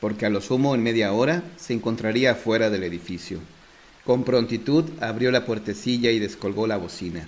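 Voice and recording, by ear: Someone is reading aloud in a natural voice. The text is read through.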